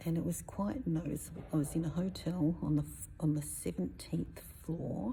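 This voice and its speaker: A woman whispers soft-spoken words at a fairly slow pace, with audible room echo. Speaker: spiritual personal development coach. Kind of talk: casual vlog talk. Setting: inside a cathedral. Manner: whispering, soft-spoken.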